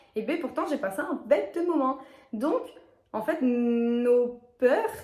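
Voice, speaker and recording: The tone is animated. Intonation stays lively throughout. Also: woman, high pitch for a woman. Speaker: YouTuber, lifestyle and fitness vlogger. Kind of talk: casual vlog monologue. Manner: fast.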